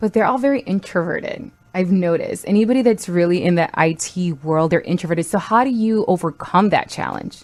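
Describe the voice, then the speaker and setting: A woman with a slight non-native accent speaks at a fairly quick pace with hardly any pauses, in a medium pitch with ordinary pitch variation. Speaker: podcast co-host. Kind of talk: casual chat.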